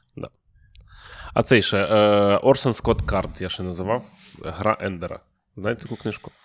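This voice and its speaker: Moderate-paced speech with long, frequent pauses and ordinary pitch variation, in a very clean recording over a silent background. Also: man, fairly low pitch for a man. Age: 30s. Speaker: podcast host, stand-up comedian. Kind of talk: casual chat. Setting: studio. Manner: animated.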